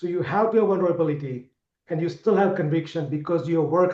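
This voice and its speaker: With a non-native accent, a high-pitched man speaks at a very fast pace. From India. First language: not English. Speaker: sales executive. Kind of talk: interview.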